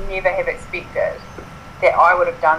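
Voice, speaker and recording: A woman with a New Zealand accent speaks fairly quickly with very wide pitch swings over noticeable background noise. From New Zealand, Southland (Invercargill). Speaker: writer and ultra runner. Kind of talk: interview.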